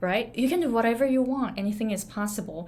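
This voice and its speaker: A somewhat breathy woman's voice in a Japanese accent, with ordinary pitch variation and audible room echo. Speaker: business and pronunciation coach. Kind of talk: motivational talk. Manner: casual, with fillers.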